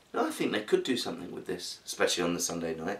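This is a man speaking with a British accent. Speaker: literature commentator. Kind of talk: casual talk to camera.

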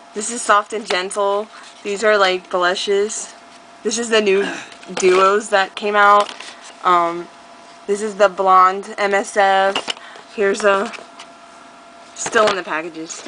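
A woman at a very slow pace, with long, frequent pauses and noticeable background noise. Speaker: beauty vlogger. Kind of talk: casual chat. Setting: home recording. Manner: animated. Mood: playful, joking. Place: home room. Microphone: webcam.

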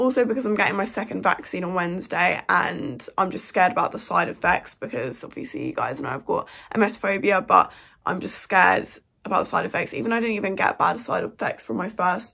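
Against a quiet background, a woman speaks at a fairly quick pace with vocal fry and very wide pitch swings. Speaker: student vlogger. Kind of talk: casual vlog chat. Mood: nervous but chatty. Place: home room. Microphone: phone near.

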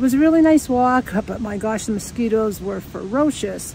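Light background noise sits under a woman speaking at a moderate pace with ordinary pitch variation in a dry sound with no echo. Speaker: nature walk vlogger. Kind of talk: casual vlog chat. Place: waterside. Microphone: phone near.

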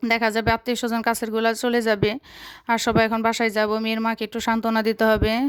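Monotone, flat intonation from a woman on a very clean recording with a silent background. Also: fairly high pitch for a woman. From Bangladesh, Tangail. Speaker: vlogger. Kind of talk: vlog voiceover narration.

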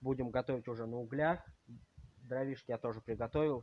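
The voice moves at a moderate pace with fairly even intonation. The sound is dry with no echo, over light background noise. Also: man. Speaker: vlogger. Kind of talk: casual vlog chat. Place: garden. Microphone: phone near.

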